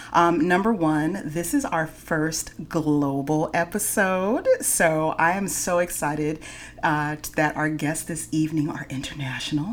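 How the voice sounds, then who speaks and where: A woman with an American accent, a very deep, low pitch, ordinary pitch variation, an animated tone and hardly any pauses. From San Francisco Bay Area. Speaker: podcast host. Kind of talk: casual chat.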